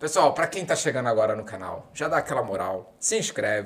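A man speaks at a very fast pace. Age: 30s. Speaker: podcast host. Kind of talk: casual chat.

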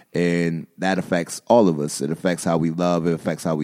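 A man talks at a moderate pace with a very deep, low pitch. The sound is dry and close, with no echo. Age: 30s. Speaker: podcast co-host. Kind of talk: casual chat.

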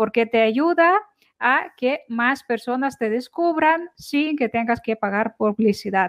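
Her intonation is lively and her pitch is high. The woman speaks at a very slow pace. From Ukraine. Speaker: social media marketing expert. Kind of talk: podcast interview.

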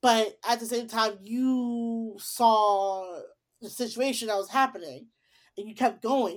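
On a very clean recording with a silent background, a woman with an unremarkable speaking voice talks at a fairly slow pace, fairly high in pitch with fairly even intonation. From Chicago, US Midwest. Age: 20s. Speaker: podcast host. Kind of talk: casual chat.

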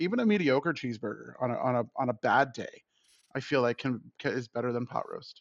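This man has an unremarkable speaking voice with an American accent, medium pitch and ordinary pitch variation, talking at a fairly quick pace. The sound is dry and close with no echo, over a quiet background. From Florida (Tampa). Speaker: food podcast panelist. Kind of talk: casual chat.

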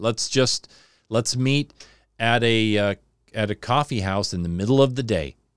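A man speaks at a moderate pace in an American accent, his intonation lively. The recording is very clean with a silent background and a dry, close sound with no echo. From Southern California. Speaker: home builder and radio host. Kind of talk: casual chat. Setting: home studio.

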